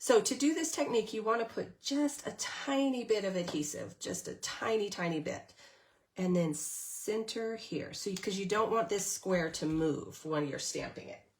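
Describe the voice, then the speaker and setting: The woman's voice is somewhat breathy. She speaks at a moderate pace. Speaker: stamping craft demonstrator. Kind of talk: live craft tutorial. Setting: Facebook live stream. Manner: hesitant, many fillers.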